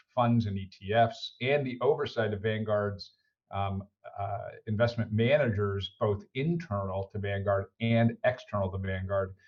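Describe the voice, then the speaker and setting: A man with an American accent talks at a fairly slow pace in a fairly low pitch, a plain, everyday voice. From United States. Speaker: finance executive. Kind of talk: podcast interview. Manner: frequent fillers and repetitions.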